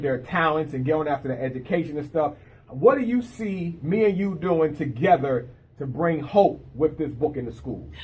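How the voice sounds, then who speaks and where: At a moderate pace, a man talks with lively intonation in a fairly high pitch. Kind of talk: casual interview host talk. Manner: upbeat, enthusiastic.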